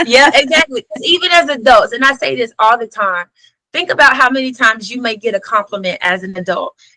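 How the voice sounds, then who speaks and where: Her voice high in pitch, a woman talks at a fairly quick pace with lively intonation and an animated tone. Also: dry, close sound with no echo. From US South. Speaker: educator and author. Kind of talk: podcast interview.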